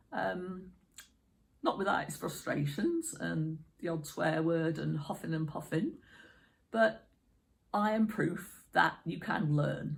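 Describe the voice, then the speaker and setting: Long pauses interrupt the speech frequently. Its pace is very slow. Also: woman. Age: 50s. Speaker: YouTuber. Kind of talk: casual talk to camera.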